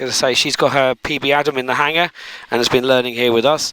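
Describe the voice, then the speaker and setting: A very fast pace in an English accent, with noticeable background noise. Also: man. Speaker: microlight pilot and video creator. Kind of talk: casual vlog narration. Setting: outdoors at an airfield; radio calls over aircraft radio.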